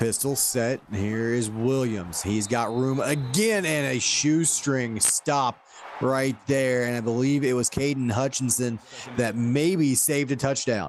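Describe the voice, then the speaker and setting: Noticeable background noise sits behind a man speaking at a very slow pace. His pitch is medium and his loudness very even. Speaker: play-by-play commentator. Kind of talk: live commentary.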